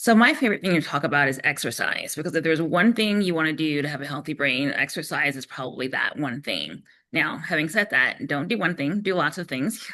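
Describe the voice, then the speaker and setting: A woman's very deep, low voice with a bright, sharp tone, hardly any pauses, and a quiet background. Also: lively intonation, fairly quick pace. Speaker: brain health expert presenter. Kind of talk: webinar presentation. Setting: online webinar. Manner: fast.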